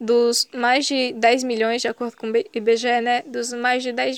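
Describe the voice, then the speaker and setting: In a dry, close sound with no echo, a woman speaks at a fairly slow pace in a high pitch with fairly even intonation. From Pernambuco sertão, Brazil. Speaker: youth movement coordinator. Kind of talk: interview. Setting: video call.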